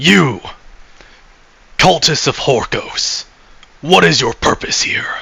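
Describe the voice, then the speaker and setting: The speaker uses a put-on character voice at a fairly slow pace. Long pauses come often. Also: man. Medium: read story. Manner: calm, measured.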